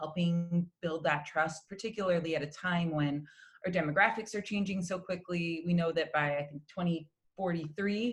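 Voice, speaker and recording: A woman speaks at a moderate pace with a fairly low pitch. Her voice is somewhat breathy and her intonation fairly even. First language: Spanish. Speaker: opera singer. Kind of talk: interview.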